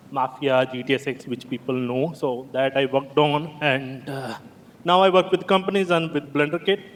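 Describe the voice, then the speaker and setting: A man at a fairly high pitch, moderate pace and fairly even intonation, with noticeable background noise. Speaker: game environment artist, conference speaker. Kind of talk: conference talk.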